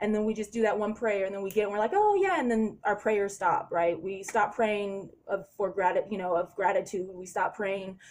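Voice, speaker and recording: A woman speaks at a medium pitch. Her intonation is monotone and flat. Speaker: spiritual vlogger. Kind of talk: casual monologue vlog. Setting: hotel room late at night. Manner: usually very loud.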